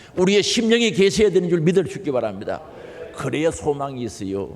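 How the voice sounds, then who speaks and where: A man's high-pitched voice in a Gyeongsang accent, animated in tone and at a fairly quick pace, over noticeable background noise. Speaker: pastor. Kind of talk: sermon. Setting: church.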